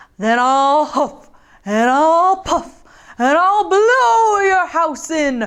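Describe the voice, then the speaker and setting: In a put-on character voice, the speaker talks at a very slow pace with a high pitch. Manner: menacing, threatening.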